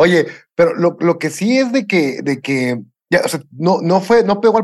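A man's high-pitched voice rises and falls with lively intonation. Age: 40s. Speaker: podcast co-host. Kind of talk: casual chat.

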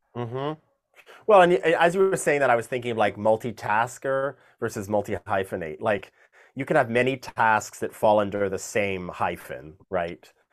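A man with an ordinary speaking voice talks at a moderate pace, his medium pitch carried by lively intonation. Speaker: music producer and opera singer. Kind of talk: interview. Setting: video call.

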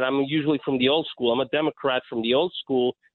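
A man with an American accent and a plain, everyday voice, fairly high in pitch, with fairly even intonation. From New York City (Astoria, Queens). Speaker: radio call-in listener. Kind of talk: call-in conversation.

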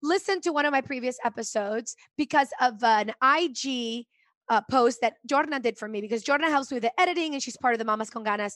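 A woman talks at a fairly quick pace with a high pitch. The background is quiet. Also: ordinary pitch variation, dry, close sound with no echo. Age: 40s. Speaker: podcast host. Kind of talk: casual chat.

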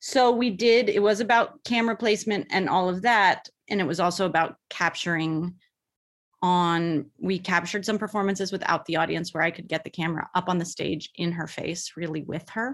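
At a fairly quick pace, a woman with a normal speaking voice talks at a medium pitch with ordinary pitch variation on a very clean recording with a silent background. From US West Coast, Bay Area. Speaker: film director and actress. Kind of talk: interview.

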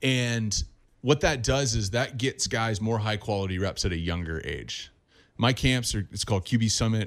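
Using an unremarkable speaking voice with an American accent, a man talks at a moderate pace and fairly low pitch with ordinary pitch variation, on a very clean recording with a silent background. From Southern California. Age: 30s. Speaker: quarterback coach. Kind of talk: interview.

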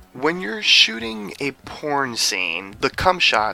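Noticeable background noise sits behind this man. He talks at a very slow pace with lively intonation. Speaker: podcast interviewer. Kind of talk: interview. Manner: enthusiastic.

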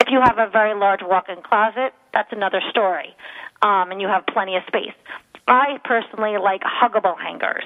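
Here is a woman with an ordinary speaking voice at medium pitch. She keeps a fairly quick pace and fairly even intonation. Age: 40s. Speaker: professional organizer. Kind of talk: radio interview. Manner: casual, filler-heavy.

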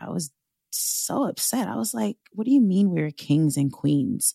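In a very clean recording with a silent background and a dry, close sound with no echo, a woman with a New York accent speaks at a moderate pace in a very deep, low pitch. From US Northeast, Long Island, New York. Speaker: burlesque dancer and sex work activist. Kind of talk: interview.

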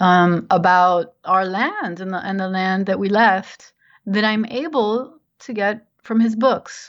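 Talking at a fairly slow pace with ordinary pitch variation, a woman with an American accent has a plain, everyday voice. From New Jersey. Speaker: novelist. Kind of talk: interview.

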